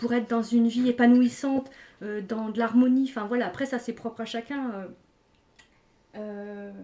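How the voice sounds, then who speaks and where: Her fairly high-pitched voice stays monotone and flat as the woman leaves long, frequent pauses. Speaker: wellbeing guide and live host. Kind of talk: live stream discussion. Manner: fast; hesitant, many fillers.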